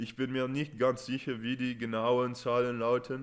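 With a non-native accent, a man talks at a fairly slow pace. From Netherlands, partly raised in England. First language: Dutch or English (speaking German). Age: 20s. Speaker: rugby player. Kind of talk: podcast interview. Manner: halting with fillers.

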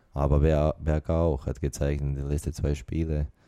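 Here a man speaks at a very deep, low pitch with a dark, mellow tone. His intonation is flat and monotone. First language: not German (speaking German). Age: 20s. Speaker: professional football player. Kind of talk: interview. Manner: halting non-native German.

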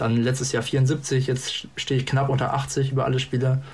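This is a man speaking at a medium pitch. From northern Germany, Hanover region. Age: 20s. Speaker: darts player and podcast guest. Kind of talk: casual chat. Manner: hesitant, many fillers.

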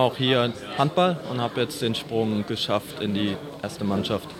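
A man delivers his words at a fairly slow pace with ordinary pitch variation, noticeable background noise underneath. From Palatinate, Germany (Meisenheim am Glan). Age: 20s. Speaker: handball player. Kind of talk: interview.

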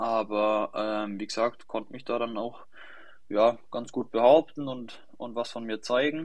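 With an ordinary speaking voice, a man talks at a fairly slow pace and medium pitch, his intonation fairly even but his loudness swinging widely. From Germany, Lower Franconia (near Schweinfurt). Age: 20s. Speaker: young professional football goalkeeper. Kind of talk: podcast interview.

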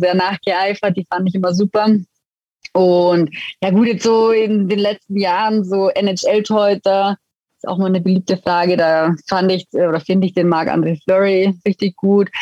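With an Allgäu accent, a woman speaks at a moderate pace and medium pitch. Her intonation is monotone and flat. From Allgäu, Bavaria (Füssen). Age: 30s. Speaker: retired ice hockey goaltender. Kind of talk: interview.

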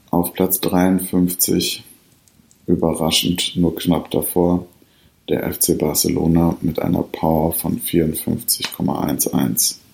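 Over noticeable background noise, a man speaks at a very slow pace with a very deep, low pitch. His intonation is fairly even and his loudness very even. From Ruhr area, Germany (Bottrop). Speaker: podcast host. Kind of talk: scripted ranking readout. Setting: at home by the fireplace. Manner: formal.

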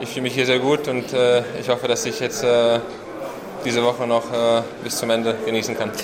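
With audible room echo and noticeable background noise, a man speaks at a fairly quick pace in a medium pitch with monotone, flat intonation. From Germany (childhood), then Czech Republic. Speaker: professional tennis player. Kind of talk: post-match interview. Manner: halting, many fillers.

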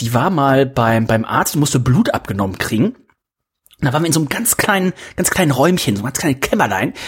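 A man's fairly high, somewhat breathy voice, racing at a very fast pace with very wide pitch swings. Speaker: podcast host. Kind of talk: casual banter. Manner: joking.

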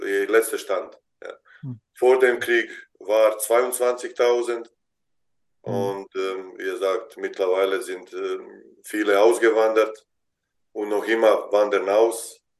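Speaking at a very slow pace with a Bosnian accent, a man leaves long, frequent pauses while his loudness swings widely. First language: Bosnian (speaking German). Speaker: basketball head coach. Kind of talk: interview. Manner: halting.

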